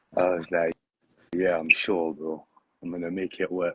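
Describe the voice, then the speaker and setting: Very deep and low, a man's voice moves at a fairly slow pace in a dry, close sound with no echo. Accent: British. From London, England. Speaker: poet. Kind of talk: casual interview chat. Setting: livestream.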